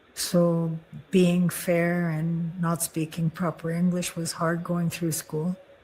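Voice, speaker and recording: Someone talks fairly slowly in a somewhat breathy voice. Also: woman. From Manitoba, Canada (Ojibwe First Nation). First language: Ojibwe. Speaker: near-death experiencer. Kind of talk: testimony. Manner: halting.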